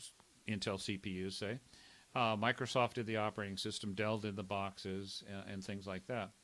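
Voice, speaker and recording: A man with an American accent, fairly low pitch, and a fairly quick pace. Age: 50s. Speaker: tech veteran and nonprofit fellow. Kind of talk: video blog monologue. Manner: halting, many fillers and repeats.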